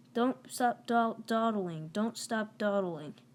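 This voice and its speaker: A put-on character voice, female-sounding and fairly high in pitch. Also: fairly slow pace. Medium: read story. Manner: fussy, cheeky.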